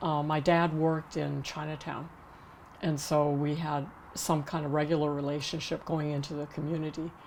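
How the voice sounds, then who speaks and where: A woman with an American accent speaks at a very deep, low pitch. Her intonation is monotone and flat. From Massachusetts (Newton, suburb of Boston). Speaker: oral history interviewee, activist. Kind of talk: oral history interview.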